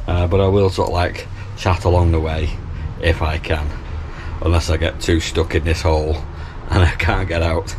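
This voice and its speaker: Speech at a moderate pace comes with long, frequent pauses and noticeable background noise. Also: man. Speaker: canal boat vlogger. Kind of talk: casual vlog chat. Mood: cheerful, self-deprecating. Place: boat. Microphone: phone near.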